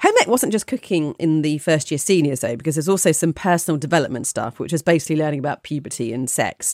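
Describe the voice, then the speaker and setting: In a British accent, a woman talks very fast with hardly any pauses, using a very deep, low pitch and lively intonation. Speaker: podcast co-host. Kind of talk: casual chat.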